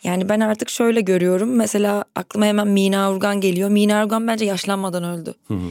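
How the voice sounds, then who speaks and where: A plain, everyday voice with fairly even intonation, recorded very cleanly against a silent background, dry and close with no echo. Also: woman. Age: 30s. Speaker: podcaster. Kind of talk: casual chat.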